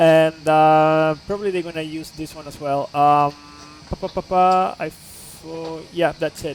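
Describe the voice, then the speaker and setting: A man speaks fairly slowly in a fairly high pitch, his intonation flat and monotone. His loudness swings widely. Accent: Spanish. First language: Spanish. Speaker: flight simulator streamer. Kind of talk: live stream tutorial. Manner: halting with many fillers.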